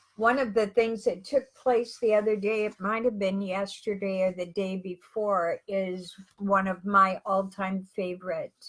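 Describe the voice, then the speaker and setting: A woman with a medium-pitched voice talks at a fairly slow pace, her intonation fairly even. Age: 60s. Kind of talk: teaching talk to online subscribers. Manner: halting.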